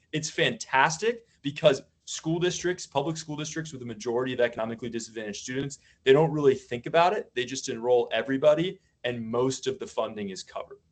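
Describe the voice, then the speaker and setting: At a very fast pace, a man with a fairly high voice speaks with lively intonation and big swings in loudness. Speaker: former school principal presenting to a working group. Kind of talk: slide presentation at a public meeting.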